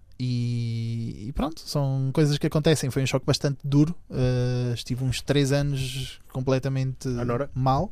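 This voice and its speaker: At a fairly slow pace, a man speaks at medium pitch with fairly even intonation and a dark, mellow tone. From Venezuela. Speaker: YouTuber. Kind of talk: casual chat.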